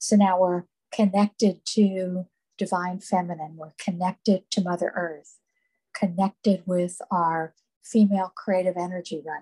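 A woman's somewhat breathy, dark and mellow voice at medium pitch, monotone and flat in intonation, at a fairly slow pace, with a dry, close sound and no echo. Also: big swings in loudness. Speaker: meditation guide. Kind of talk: guided meditation. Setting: live group meditation, recorded.

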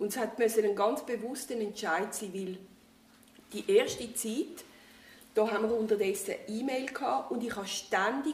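A woman with a Zurich accent talks at a moderate pace in a fairly high pitch. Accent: Swiss German, Zurich area. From Switzerland, Winterthur. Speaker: retiree, former aid worker. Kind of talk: casual interview.

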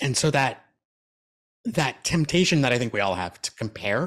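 A man with a normal speaking voice talks at a moderate pace with ordinary pitch variation. The recording is very clean, with a silent background. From Canada. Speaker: keynote speaker and transplant recipient. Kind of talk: interview.

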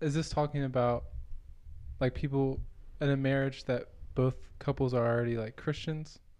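A man at a medium pitch and moderate pace, against a quiet background. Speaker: podcast co-host, grown son. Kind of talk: casual family chat.

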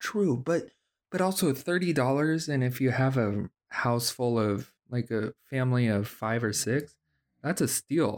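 With a plain, everyday voice at medium pitch, a man talks at a fairly slow pace with lively intonation. His loudness stays very even, and the recording is very clean with a silent background. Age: 30s. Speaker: podcast host. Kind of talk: casual chat.

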